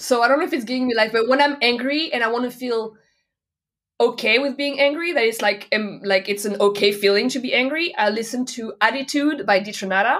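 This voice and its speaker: Speaking fairly quickly in a French accent, a woman uses a high pitch with ordinary variation. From France, Nantes. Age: 30s. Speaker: DJ and music producer. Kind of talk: interview.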